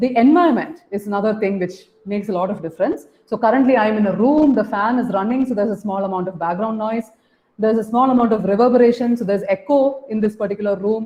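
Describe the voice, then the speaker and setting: At a very fast pace, a woman talks with a fairly high pitch and ordinary pitch variation. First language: Malayalam. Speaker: professor. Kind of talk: lecture. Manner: semi-spontaneous, guided by slides; hesitant, with fillers. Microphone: room echo.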